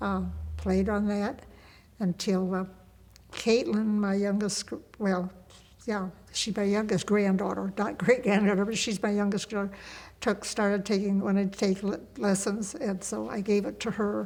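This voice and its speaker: Speaking in a Midwestern American accent at a moderate pace, the voice keeps fairly even intonation and leaves long, frequent pauses. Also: woman, medium pitch for a woman. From US Midwest, Indiana. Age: 80s+. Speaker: grandmother interviewee. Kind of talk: casual chat. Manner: halting.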